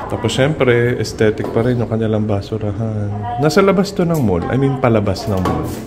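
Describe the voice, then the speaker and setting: A man with a medium-pitched voice speaks at a moderate pace with lively intonation and hardly any pauses, with audible room echo and music playing in the background. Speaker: vlogger. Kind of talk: travel vlog. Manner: animated.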